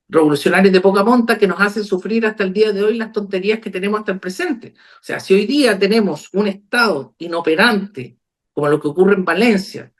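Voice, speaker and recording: A high-pitched man speaks with hardly any pauses. His loudness swings widely while his pitch varies in an ordinary way. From Chile, Copiapó. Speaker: lawyer and author. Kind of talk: video call discussion.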